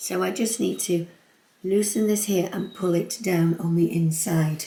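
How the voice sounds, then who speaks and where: A woman with an English accent, fairly low in pitch, at a fairly slow pace, with ordinary pitch variation and very even loudness. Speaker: home sewing vlogger. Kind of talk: sewing tutorial. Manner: barking.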